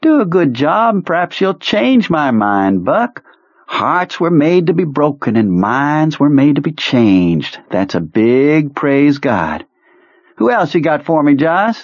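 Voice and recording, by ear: A man puts on a character voice at a fairly high pitch, speaking slowly with big pitch swings.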